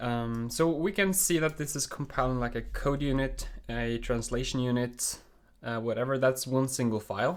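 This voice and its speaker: In a Norwegian accent, a man speaks at a moderate pace and medium pitch with ordinary pitch variation. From Norway. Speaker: programming streamer. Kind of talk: live coding stream. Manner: casual, with many fillers.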